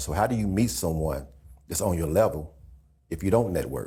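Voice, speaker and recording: Vocal fry runs through this man's very deep, low voice. His tone is dark and mellow, and his pace is fairly quick. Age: 60s. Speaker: podcast co-host. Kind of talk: casual chat.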